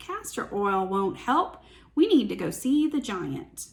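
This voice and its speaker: Putting on a character voice, a woman speaks fairly slowly in a high register with very wide pitch swings. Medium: read story.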